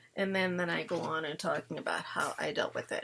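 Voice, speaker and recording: A woman speaks over noticeable background noise. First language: Italian. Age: 50s. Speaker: parenting vlogger. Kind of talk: casual chat.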